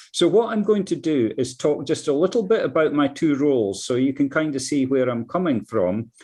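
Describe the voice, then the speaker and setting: Against a quiet background, a man with a Scottish accent talks fairly quickly with hardly any pauses, his fairly high voice having a dark, mellow tone, very even loudness and lively intonation. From Scotland, Dundee area. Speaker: climate scientist, professor. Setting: video call. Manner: halting, repeats words.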